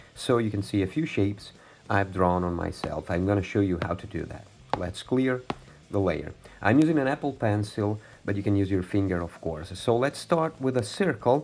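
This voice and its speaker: A man with an ordinary speaking voice talks at a moderate pace, his fairly low pitch carried by lively intonation. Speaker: digital art tutor. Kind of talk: tutorial.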